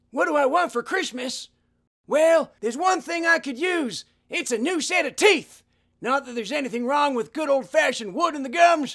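In a cartoonish character voice, a man speaks at an extremely high pitch. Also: moderate pace. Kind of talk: comic overacting. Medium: puppet show. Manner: folksy, wry.

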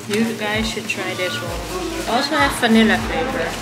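Loud background music plays while a woman talks. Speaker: food vlogger. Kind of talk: casual vlog chat. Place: cafe.

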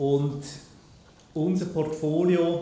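With audible room echo, a man speaks at a very slow pace, his fairly high pitch carrying a dark, mellow tone and fairly even intonation.

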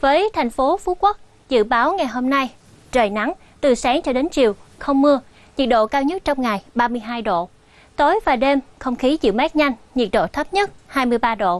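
A woman's high voice at a fairly slow pace, with very wide pitch swings and a dry sound with no echo. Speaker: TV presenter. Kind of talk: weather forecast broadcast. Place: studio. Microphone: lapel.

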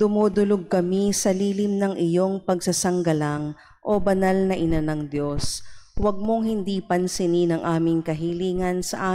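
Fairly low in pitch, a woman speaks with a dark, mellow tone at a fairly slow pace and fairly even intonation. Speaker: mass commentator and responder. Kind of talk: liturgical prayer and responses. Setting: church. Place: church. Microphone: podium.

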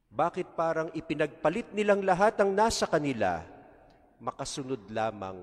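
His speech moves at a moderate pace. The man's pitch varies very widely. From Philippines. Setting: church during Mass. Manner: conversational, rhetorical questions; warm, pastoral, code-switching Tagalog and English. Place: church. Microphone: podium.

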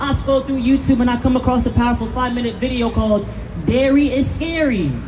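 Noticeable background noise is present. A man with an extremely high pitch talks at a fairly quick pace. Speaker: street performer, spoken word poet. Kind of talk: spoken word poetry performance with rhyme. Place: street.

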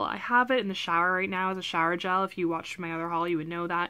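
This woman has a Canadian accent. Her tone is bright and sharp. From Canada. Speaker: lifestyle vlogger. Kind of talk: haul video, casual talk to camera. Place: home room. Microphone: webcam.

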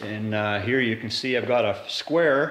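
A man talks at a fairly slow pace with ordinary pitch variation, and audible room echo surrounds his voice. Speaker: DIY video maker. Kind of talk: tutorial. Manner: casual, many filler words. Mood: calm, explanatory. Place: garage.

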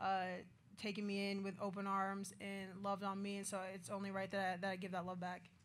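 At a fairly quick pace, a woman speaks with monotone, flat intonation. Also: medium pitch for a woman.

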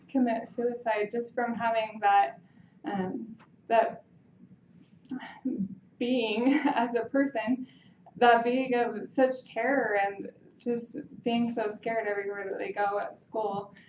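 A woman speaks at a very slow pace with fairly even intonation and long, frequent pauses, over light background noise and audible room echo. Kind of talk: impromptu persuasive speech. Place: classroom. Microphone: camera far.

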